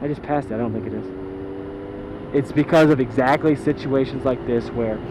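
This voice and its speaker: The speech moves at a fairly quick pace with lively intonation over noticeable background noise. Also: man. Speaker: motorcycle vlogger. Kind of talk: rant. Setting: riding a motorcycle outdoors. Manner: loud; animated.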